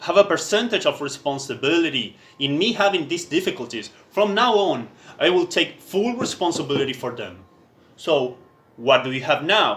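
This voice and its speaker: A man with a non-native accent, high pitch, moderate pace and very wide pitch swings. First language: not English. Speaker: writer reading own text. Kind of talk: reading aloud. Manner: halting.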